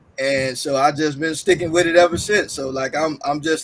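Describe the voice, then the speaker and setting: With an American accent, a man talks at a fairly high pitch and with fairly even intonation. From US Midwest, Chicago. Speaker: filmmaker and funeral service worker. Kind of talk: casual chat.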